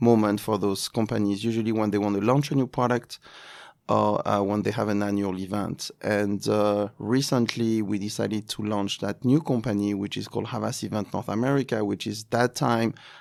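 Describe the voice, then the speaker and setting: A man with a French accent speaks at a moderate pace in a fairly low pitch. His intonation stays fairly even, and the recording is very clean with a silent background. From France. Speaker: luxury events agency president. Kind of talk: interview. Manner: halting.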